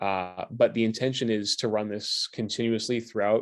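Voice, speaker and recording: This very clean recording, with a silent background, captures a man speaking at a medium pitch. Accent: American. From United States. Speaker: stand-up comedian. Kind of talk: interview. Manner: casual, filler-heavy.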